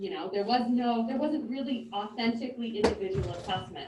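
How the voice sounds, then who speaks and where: Fairly quick, lively speech from a woman with a fairly high pitch, with audible room echo. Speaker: music teacher. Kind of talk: presentation to school board. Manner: loud.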